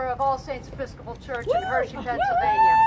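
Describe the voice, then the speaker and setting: Over crowd noise in the background, a woman in an extremely high pitch projects her raised voice at a fairly quick pace with lively intonation. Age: 60s. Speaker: pastor. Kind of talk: protest speech.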